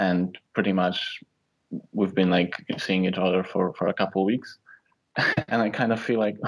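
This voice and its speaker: Monotone, flat intonation at a moderate pace. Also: man. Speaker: caller. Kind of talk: call-in advice conversation. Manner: halting.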